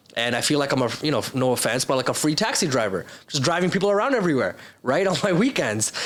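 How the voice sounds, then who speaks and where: In a Canadian accent, a man talks very fast in a fairly high, animated voice with very wide pitch swings and very even loudness, over noticeable background noise. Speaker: entrepreneur. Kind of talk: podcast interview.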